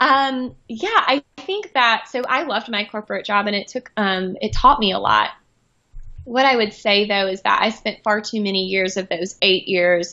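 With an American accent, a woman talks at a moderate pace in a plain, everyday voice, fairly high in pitch with ordinary pitch variation. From US South, small-town North Carolina. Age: 30s. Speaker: boutique founder, former corporate communications executive. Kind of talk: interview. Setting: remote call.

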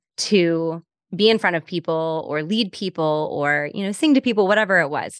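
Speaking in a normal speaking voice, a woman has a fairly low pitch with ordinary pitch variation. The sound is dry and close with no echo, and the background is quiet. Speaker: podcast host and business coach. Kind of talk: casual interview.

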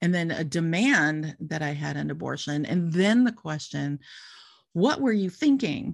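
A woman with a normal speaking voice talks at a fairly slow pace, her pitch fairly low. Her intonation is lively, and the background is quiet. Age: 60s. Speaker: guest sharing abortion story. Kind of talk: personal testimony in casual interview.

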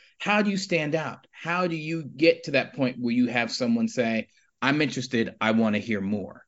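An unremarkable speaking voice, this man talks at medium pitch with an American accent. His intonation is lively and his pace moderate. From Harlem, New York City. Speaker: nonprofit chief executive. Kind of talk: casual interview.

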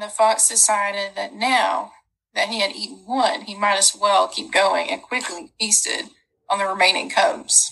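A woman with a fairly high pitch and vocal fry talks at a moderate pace with a bright, sharp tone and ordinary pitch variation. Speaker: podcast co-host. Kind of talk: casual chat and reading aloud.

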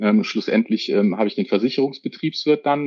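Speaking in a medium pitch, a man makes very wide pitch swings. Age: 40s. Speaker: controller. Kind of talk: casual interview. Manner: hesitant, many fillers.

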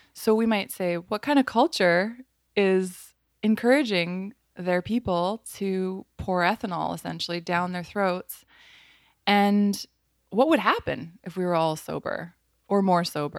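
A plain, everyday voice from a woman at medium pitch with ordinary pitch variation, in a dry, close sound with no echo on a very clean recording with a silent background. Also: fairly slow pace. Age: 30s. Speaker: artist and designer. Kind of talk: casual interview.

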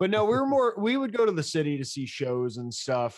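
A plain, everyday voice from a man, fairly quick, with ordinary pitch variation. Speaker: podcast host. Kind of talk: casual chat.

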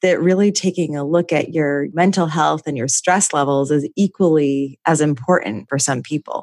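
A woman with a plain, everyday voice, fairly even intonation and a moderate pace, on a very clean recording with a silent background. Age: 30s. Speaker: podcast host. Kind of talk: casual interview.

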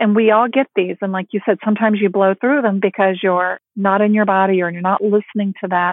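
A woman speaks in an unremarkable speaking voice at a medium pitch with fairly even intonation. She talks at a fairly quick pace with hardly any pauses. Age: 50s. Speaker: empowerment coach and author. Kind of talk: interview.

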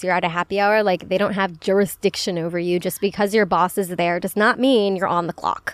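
A woman at medium pitch talking at a very fast pace, with a dry, close sound and no echo. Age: 20s. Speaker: podcast host. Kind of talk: casual chat. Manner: animated.

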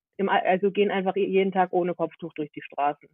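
A woman does the talking here. Her voice is medium in pitch. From Germany, Hannover. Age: 20s. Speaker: activist and student. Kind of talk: casual interview.

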